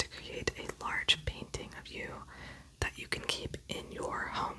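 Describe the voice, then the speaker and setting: The speaker is whispering and soft-spoken. The pace is moderate, with noticeable background noise. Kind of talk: ASMR roleplay, whispered portrait artist session. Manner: whispered, soft-spoken; slightly loud whispers.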